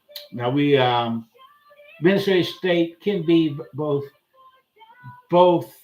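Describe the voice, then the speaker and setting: At a fairly slow pace, a man speaks in an American accent, with ordinary pitch variation. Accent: Southern US accent, remarked on by viewers. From US South. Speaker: political commentator. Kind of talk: commentary on a played video. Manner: halting, many fillers; casual.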